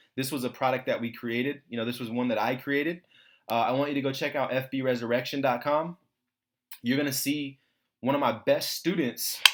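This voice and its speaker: A man speaks at a fairly quick pace and medium pitch. The recording is very clean with a silent background. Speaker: online marketing promoter. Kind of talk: sales pitch. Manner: fast; animated.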